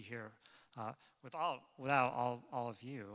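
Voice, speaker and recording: Here a man talks with an American accent and a bright, sharp tone. His pitch varies in an ordinary way. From Springfield, Massachusetts, US. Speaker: author and rabbi. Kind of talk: book talk Q&A. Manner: halting, repeats words.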